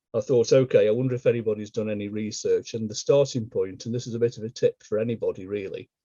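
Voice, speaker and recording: The man talks at a fairly quick pace. His pitch varies in an ordinary way. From England, Stoke-on-Trent. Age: 50s. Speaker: local historian. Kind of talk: illustrated history talk.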